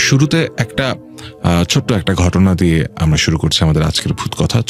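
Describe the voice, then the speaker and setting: Over music in the background, a man with a very deep, low pitch speaks with lively intonation. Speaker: radio horror show host. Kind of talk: radio horror story narration.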